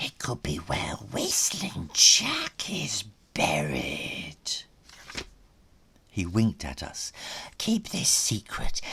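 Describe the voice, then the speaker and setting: Very slow, croaky put-on character voice from a man. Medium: read story.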